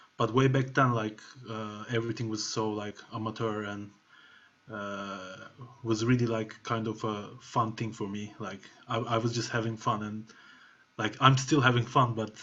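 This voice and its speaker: Delivered at a moderate pace with a Turkish accent, the speech has a monotone, flat intonation. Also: man. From Turkey. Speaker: music producer. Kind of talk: masterclass talk. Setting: video call. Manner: casual, filler-heavy. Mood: relaxed, reflective. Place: home room. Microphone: webcam.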